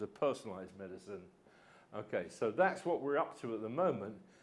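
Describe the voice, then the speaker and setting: Speaking at a very fast pace, a man with an English accent keeps a medium pitch. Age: 70s. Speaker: physics professor. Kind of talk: public lecture. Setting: lecture hall with audience. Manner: conversational, frequent fillers.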